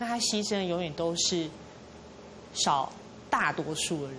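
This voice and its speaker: With a Taiwanese accent, a woman speaks at medium pitch with lively intonation, and audible room echo surrounds her. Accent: Taiwanese Mandarin. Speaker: café owner. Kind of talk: interview.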